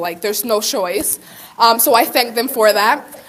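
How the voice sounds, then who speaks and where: A woman speaks at a moderate pace with a fairly high pitch. Her intonation is fairly even, and there is noticeable background noise. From Puerto Rico. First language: Spanish. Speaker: community college student. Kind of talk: conference presentation, personal testimony. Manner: casual, many fillers.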